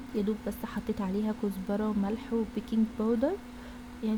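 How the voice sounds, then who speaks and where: With noticeable background noise behind her, a woman talks at a moderate pace and a fairly high pitch. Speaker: cooking vlogger. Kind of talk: vlog voiceover.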